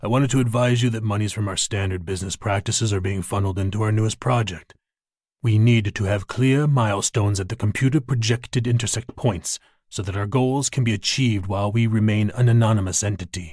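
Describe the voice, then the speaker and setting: At a very fast pace and a fairly low pitch, a man delivers a theatrical, menacing tone, somewhat breathy with ordinary pitch variation, in a very clean recording with a silent background. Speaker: audiobook narrator. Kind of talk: dramatic audiobook narration of a thriller, performed. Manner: suspenseful pacing, pauses and stammers for tension.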